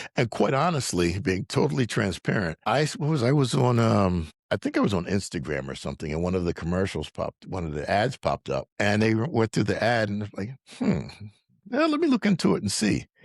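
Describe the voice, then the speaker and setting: A man's fairly low voice with vocal fry and very wide pitch swings, dry and close with no echo, against a quiet background. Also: fairly quick pace. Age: 60s. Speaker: dental implant patient. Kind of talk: interview testimony.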